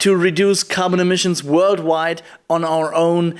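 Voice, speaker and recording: The man's voice sits high in pitch, and he talks at a fairly slow pace. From Germany. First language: German. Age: 20s. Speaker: poetry slammer and climate activist. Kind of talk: prerecorded video keynote. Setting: recorded remotely in Germany.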